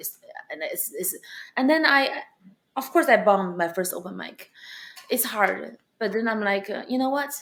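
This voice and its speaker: Speaking with a Chinese accent, a woman uses a fairly high voice and lively intonation at a moderate pace, with long, frequent pauses and big swings in loudness. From China. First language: Mandarin Chinese. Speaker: stand-up comedian. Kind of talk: interview. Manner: animated.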